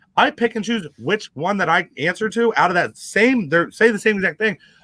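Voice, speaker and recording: Raising and projecting his voice, a man speaks at a fairly quick pace with a high pitch and lively intonation. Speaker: TikToker talking about prison life. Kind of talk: casual podcast interview. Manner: fast; casual, filler-heavy.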